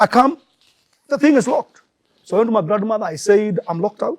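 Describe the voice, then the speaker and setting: In a dry, close recording with no echo, a man speaks fairly quickly at a high pitch, swinging his pitch very widely and pausing long and often. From Kenya. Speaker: pastor. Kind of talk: testimony. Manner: halting.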